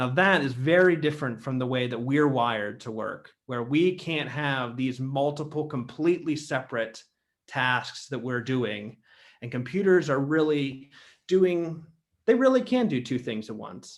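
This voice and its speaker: At a fairly slow pace, a man with an American accent speaks in a plain, everyday voice, medium in pitch with ordinary pitch variation. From Ohio, USA. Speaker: theologian, institute founder. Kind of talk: lecture talk. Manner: casual, conversational.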